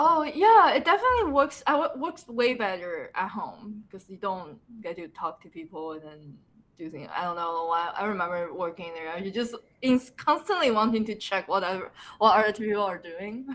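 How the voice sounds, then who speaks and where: A woman with a Mandarin accent speaks at a fairly high pitch, with very wide pitch swings and big swings in loudness. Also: moderate pace. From Taiwan, Taipei. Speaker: character designer. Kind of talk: casual interview chat.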